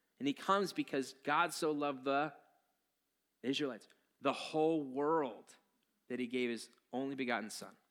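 At a moderate pace, a man talks with a fairly high pitch and a bright, sharp tone. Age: 40s. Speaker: pastor. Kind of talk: sermon. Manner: casual, conversational.

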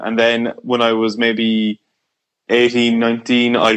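Fairly slow speech in an Irish accent against a quiet background. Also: man. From Ireland. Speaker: musician. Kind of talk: casual chat.

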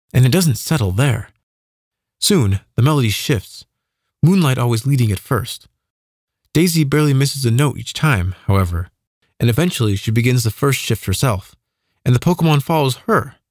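Calm in tone and somewhat breathy, a man speaks at a moderate pace with lively intonation. He leaves long, frequent pauses. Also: medium pitch for a man, very clean recording, silent background. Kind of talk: fiction audiobook narration. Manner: calm, even, measured storyteller pacing.

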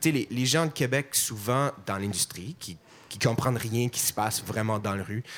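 This man's medium-pitched voice shows ordinary pitch variation and keeps a moderate pace. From Montreal, anglophone. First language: English (speaking French). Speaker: musician. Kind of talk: panel discussion.

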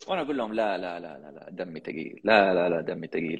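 This man's voice is very deep and low. His pitch varies in an ordinary way. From Saudi Arabia, Jeddah (Hejaz). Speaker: podcast host and public speaking champion. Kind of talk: interview.

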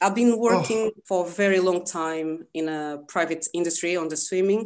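A woman with a Portuguese accent speaks at a moderate pace with fairly even intonation against a quiet background. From Lisbon, Portugal. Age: 30s. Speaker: swim coach and business founder. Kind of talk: casual interview. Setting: video call.

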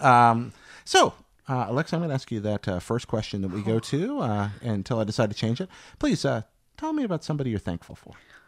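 A man talks at a very fast pace with an American accent. His intonation is lively. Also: medium pitch for a man. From US Southeast. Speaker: podcast host. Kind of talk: casual interview chat.

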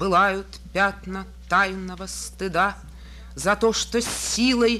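A woman speaking at a very slow pace over music in the background. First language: Russian. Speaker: poet. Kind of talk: poetry reading in Russian.

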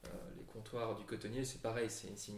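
Monotone, flat intonation with vocal fry at a fairly quick pace, in audible room echo. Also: man. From Brussels, Belgium. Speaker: company co-founder. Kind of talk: interview. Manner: calm, reassuring; hesitant, many fillers.

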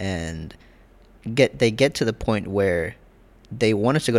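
A man speaks at a moderate pace with an American accent in a plain, everyday voice, fairly low in pitch, captured in a very clean recording with a silent background. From South Carolina, US South. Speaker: podcast co-host. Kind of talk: casual chat.

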